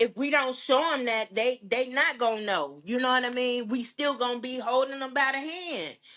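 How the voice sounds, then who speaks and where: Speaking loudly, a woman uses a high pitch with ordinary pitch variation. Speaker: podcast guest. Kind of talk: casual chat.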